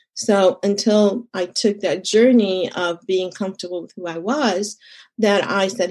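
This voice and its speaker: Against a quiet background, an unremarkable speaking voice carries fairly even intonation. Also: woman. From Egypt, moved to Texas as a teenager. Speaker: consultant and community leader. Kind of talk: interview.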